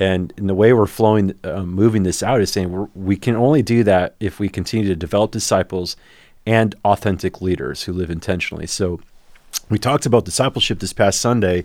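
Talking at a fairly quick pace, a man has an unremarkable speaking voice with a fairly low pitch and ordinary pitch variation, on a very clean recording with a silent background. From US Midwest. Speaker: senior pastor. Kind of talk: casual chat.

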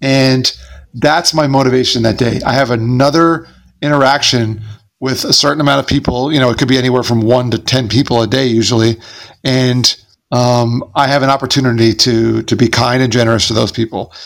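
A man talks at a fairly quick pace in an unremarkable speaking voice with medium pitch. His loudness stays very even and his intonation fairly even. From US, Long Island, New York. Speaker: motivational speaker. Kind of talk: interview.

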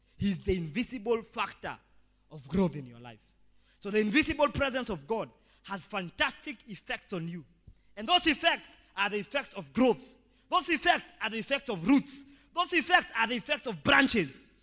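A man projects a raised, high-pitched voice with a bright, sharp tone, his pitch swinging very widely and his loudness swinging greatly. He goes at a moderate pace with long, frequent pauses. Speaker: pastor. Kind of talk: sermon. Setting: church. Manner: animated.

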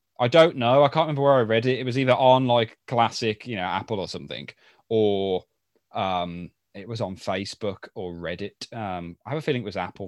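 Speaking fairly quickly with a British accent, a man at medium pitch uses lively intonation and big swings in loudness, the sound dry and close with no echo. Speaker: podcast co-host. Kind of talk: casual chat.

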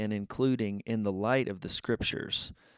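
A man with an ordinary speaking voice talks at a fairly slow pace and medium pitch. The recording is very clean and dry, with a silent background, a close sound and no echo. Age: 40s. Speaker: faith podcast host. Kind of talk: solo podcast monologue. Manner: casual, many filler words.

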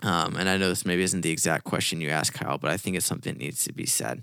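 The recording is very clean, its background silent. A man does the talking. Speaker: youth pastor podcast co-host. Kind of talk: casual conversational podcast chat. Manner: loud, high-energy.

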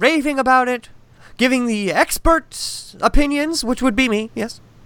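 The voice is raised and projected, with a bright, sharp tone. It moves at a moderate pace with ordinary pitch variation. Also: man. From Massachusetts. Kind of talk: casual chat.

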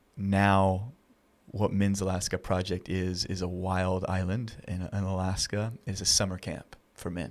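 Flat, monotone intonation at a fairly slow pace, in a very clean recording over a silent background. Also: man. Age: 30s. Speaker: nonprofit founder and outdoor mentor. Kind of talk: interview. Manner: halting.

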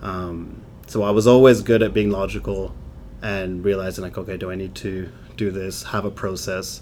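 With a very deep, low pitch and fairly even intonation, a man speaks at a moderate pace, his loudness swinging widely. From England. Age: 30s. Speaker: vegan bodybuilder, physique athlete. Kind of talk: casual interview.

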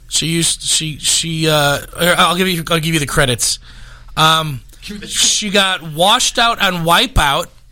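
Over noticeable background noise, a man talks at a fairly slow pace. His pitch is high, with ordinary variation. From Chicago suburbs, Illinois. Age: 30s. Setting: studio.

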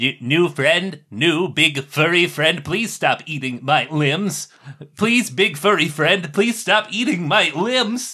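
Putting on a character voice, a man speaks high for a man at a fairly slow pace. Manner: polite, cheerful, oblivious.

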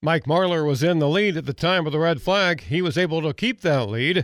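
This man speaks with a high pitch, recorded very cleanly against a silent background. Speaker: racing results reporter. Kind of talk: news reading.

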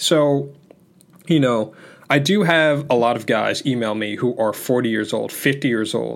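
In a plain, everyday voice of medium pitch, a man speaks at a fairly slow pace with ordinary pitch variation on a very clean recording with a silent background. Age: 20s. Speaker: self-improvement podcast host. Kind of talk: solo podcast monologue. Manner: casual, conversational.

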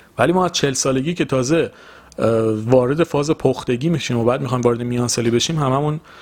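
A man talks in a normal speaking voice at a medium pitch with ordinary pitch variation. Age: 20s. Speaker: podcast host. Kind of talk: solo motivational monologue.

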